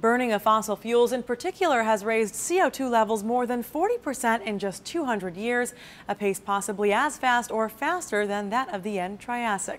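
In an ordinary speaking voice, a woman talks at a moderate pace with hardly any pauses, her fairly high pitch showing ordinary variation. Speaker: news presenter. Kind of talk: scripted news reading, polished broadcast delivery. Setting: studio. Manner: steady, even-paced and formal.

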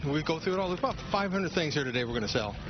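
The man's voice sits fairly high in pitch. The sound is dry with no echo, but there is noticeable background noise. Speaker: professional auctioneer. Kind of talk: interview answer explaining the auction process. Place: hall.

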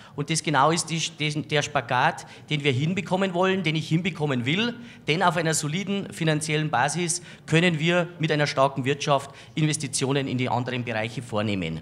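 This man speaks at a fairly quick pace. His pitch variation is ordinary. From Bavaria, Landshut. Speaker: local politician, mayoral candidate. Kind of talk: campaign statement. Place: studio. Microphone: handheld.

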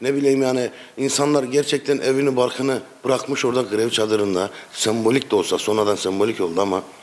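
This is a man's voice. His pitch varies in an ordinary way. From Ankara, Turkey. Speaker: football supporters' association member. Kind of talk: casual interview. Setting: supporters' clubhouse. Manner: animated. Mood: passionate, frustrated about club. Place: cafe. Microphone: handheld.

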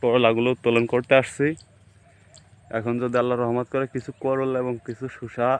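A man's voice at medium pitch. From rural Bangladesh. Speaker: farmer. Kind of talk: casual vlog walkthrough. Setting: outdoors in a field.

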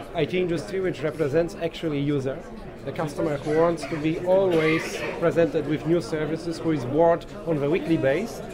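There is crowd noise in the background. A man speaks at a moderate pace with ordinary pitch variation. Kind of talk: interview answer. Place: hall.

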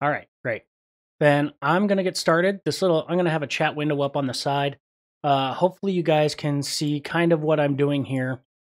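Fairly even intonation carries a man's speech at a fairly quick pace. The background is quiet. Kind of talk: lecture. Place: home room.

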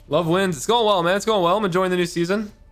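A man's voice over faint music in the background. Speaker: game streamer. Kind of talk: casual live stream chat. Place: home room. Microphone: studio mic.

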